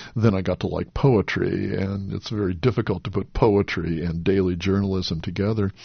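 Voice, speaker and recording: With an American accent, a man speaks in a plain, everyday voice, fairly low in pitch for a man, at a moderate pace with hardly any pauses. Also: fairly even intonation. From US West Coast, Los Angeles. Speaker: poet and English professor. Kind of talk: radio interview.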